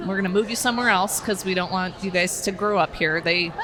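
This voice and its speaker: There is audible room echo and noticeable background noise. A woman at a medium pitch speaks with fairly even intonation and a fairly quick pace. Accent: Southwestern US. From Arizona, northern Phoenix. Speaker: criminal justice educator. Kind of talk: podcast interview. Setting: outdoors on a porch, downtown.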